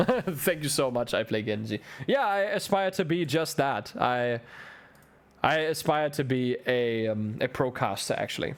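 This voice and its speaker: A man with a German accent speaks at a fairly high pitch with lively intonation. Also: fairly slow pace. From Germany. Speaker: esports caster. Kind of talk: live commentary; casual chat. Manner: animated.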